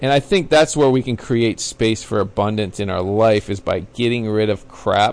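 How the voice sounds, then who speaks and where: An unremarkable speaking voice at a moderate pace, with ordinary pitch variation and hardly any pauses. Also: man, medium pitch for a man. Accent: American. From Florida, Pinellas County. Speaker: former baseball player and teacher. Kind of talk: casual interview.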